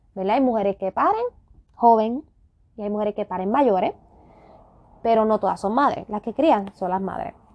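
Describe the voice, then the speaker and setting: The woman's pitch sits fairly high, with ordinary variation and a moderate pace. Long, frequent pauses break up her speech. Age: 30s. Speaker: podcast host. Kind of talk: solo podcast rant.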